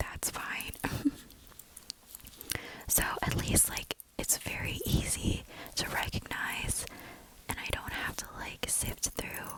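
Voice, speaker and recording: Whispering very slowly, a woman leaves long, frequent pauses. Noticeable background noise sits behind her. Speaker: student. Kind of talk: ASMR whispered bag tour. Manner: whispered.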